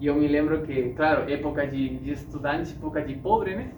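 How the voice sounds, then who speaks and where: Speaking with a Spanish accent at a moderate pace, a man with a fairly high pitch is heard through audible room echo and noticeable background noise. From Uruguay and Argentina (Misiones, Buenos Aires). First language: Spanish (speaking Portuguese). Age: 30s. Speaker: classical guitarist and speaker. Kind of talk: talk to an audience. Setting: stage with audience. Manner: hesitant, many fillers.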